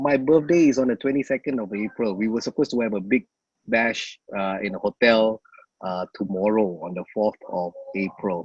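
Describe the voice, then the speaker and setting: A man with a Singaporean accent talks at a moderate pace in a fairly low voice, his pitch varying in an ordinary way, and the sound is dry and close with no echo. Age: 40s. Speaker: emcee. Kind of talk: casual chat. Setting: video call.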